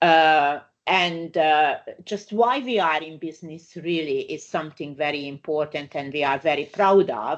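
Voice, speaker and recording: A woman with a very deep, low pitch and a Hungarian accent, at a moderate pace against a quiet background. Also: ordinary pitch variation. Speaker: migration lawyer. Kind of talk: webinar presentation. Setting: online webinar. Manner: halting, many fillers.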